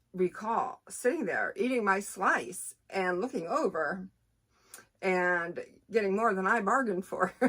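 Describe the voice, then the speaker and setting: Her medium-pitched voice has a bright, sharp tone as the woman speaks at a fairly slow pace in an animated way with lively intonation. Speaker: book reviewer. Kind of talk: casual book review vlog.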